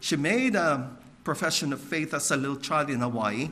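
Fairly quick and bright, sharp in tone, a man speaks with an American accent amid audible room echo. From Filipino American, US. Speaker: missionary. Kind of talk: sermon.

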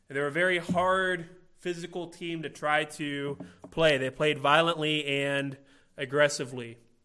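A man talks with a Midwestern American accent. His pace is moderate. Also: fairly high pitch for a man, fairly even intonation, very clean recording, silent background. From Illinois, US Midwest. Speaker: pastor. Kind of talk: sermon.

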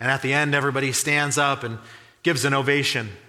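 A bright, sharp voice speaks at a very fast pace, with audible room echo. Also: man. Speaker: pastor. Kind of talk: sermon.

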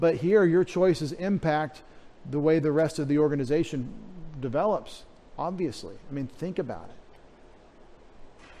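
A man speaks at a fairly slow pace with a fairly high pitch and ordinary pitch variation. It is a plain, everyday voice. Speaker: pastor. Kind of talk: sermon.

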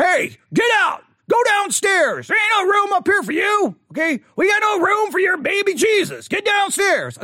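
A put-on character voice shouts at an extremely high pitch. The pace is moderate. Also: hardly any pauses. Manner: grumpy.

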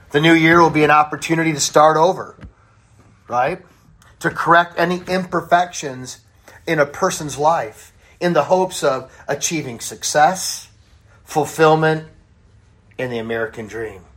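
At a moderate pace, the speaker sounds animated and leaves long, frequent pauses. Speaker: pastor. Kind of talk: sermon. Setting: church. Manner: loud.

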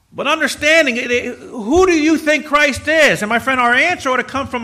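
A man's raised, projected voice with an American accent over noticeable background noise. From United States. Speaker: pastor. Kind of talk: sermon. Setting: church.

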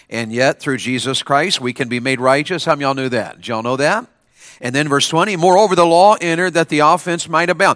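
A man talks at a very fast pace in an energetic tone. His fairly high voice has lively intonation. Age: 50s. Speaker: Baptist preacher. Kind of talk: chapel revival sermon to a student audience, with call-and-response. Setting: school chapel with audience. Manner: energetic, coaxing the crowd with repeated questions and amens; rhythmic King James scripture reading, sometimes stumbling and restarting.

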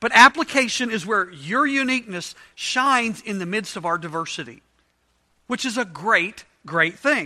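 In a very clean recording with a silent background, a man speaks at a high pitch in a raised, projected voice. His tone is bright and sharp, with lively intonation at a moderate pace. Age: 50s. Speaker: Bible study teacher. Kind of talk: interactive Bible study lesson. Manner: conversational, casual.

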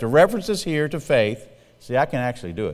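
In a Southern US accent, a man talks at a very fast pace. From US South, South Carolina. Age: 60s. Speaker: pastor. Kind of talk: sermon. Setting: church. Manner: fast talker.

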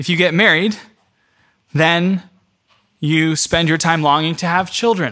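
Long, frequent pauses break up a man's speech, which has a high pitch, a bright, sharp tone and a fairly slow pace. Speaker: pastor. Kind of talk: sermon.

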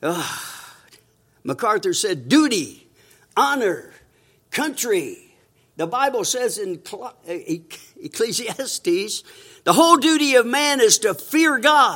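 A man speaks very slowly in a raised, projected voice at an extremely high pitch, with very wide pitch swings. Long, frequent pauses break up his speech in a very clean recording with a silent background. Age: 80s+. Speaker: visiting preacher. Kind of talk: sermon. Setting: church with congregation.

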